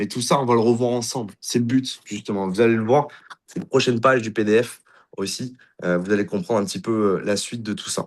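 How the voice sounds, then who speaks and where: The man talks at a medium pitch with ordinary pitch variation. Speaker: company CEO presenting a crypto platform. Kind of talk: sales pitch presentation. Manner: fast.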